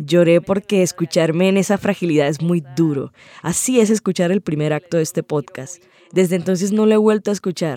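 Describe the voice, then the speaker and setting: A woman with a fairly low voice and a dark, mellow tone speaks at a fairly quick pace in a dry, close recording with no echo. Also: ordinary pitch variation. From Cartagena, Colombia. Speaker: storyteller and interviewer. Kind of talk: personal testimony.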